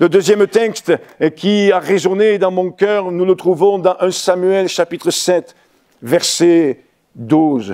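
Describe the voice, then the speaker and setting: Talking at a very slow pace, a man has a high voice with a dark, mellow tone. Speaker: pastor. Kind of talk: sermon.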